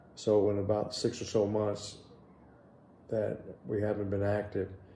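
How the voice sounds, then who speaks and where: Amid noticeable background noise and audible room echo, a man speaks at a fairly low pitch and a fairly slow pace with monotone, flat intonation. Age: 60s. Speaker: vlogger. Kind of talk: casual vlog update. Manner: casual, hesitant with fillers.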